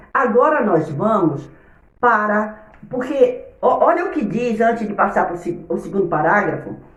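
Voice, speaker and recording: A woman speaks in an animated tone at a fairly high pitch, with very wide pitch swings. The recording has audible room echo and noticeable background noise. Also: moderate pace. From Brazil, Bahia (Itabuna). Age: 60s. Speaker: Sunday school teacher, missionary. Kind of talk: Bible lesson.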